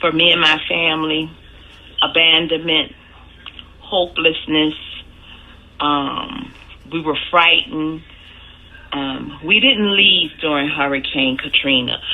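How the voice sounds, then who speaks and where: Very slow, lively speech in a New Orleans accent, with long, frequent pauses and noticeable background noise. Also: woman, very deep, low pitch for a woman. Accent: New Orleans Southern US. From US South, New Orleans, Louisiana. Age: 40s. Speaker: hurricane survivor interviewee. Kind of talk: personal testimony interview. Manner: some hesitations and restarts.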